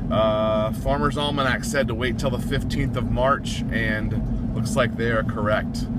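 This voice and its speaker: The pace is fairly slow. The sound is dry with no echo, set against loud background noise. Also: man. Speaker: vlogger. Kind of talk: casual vlog chat. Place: car. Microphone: phone near.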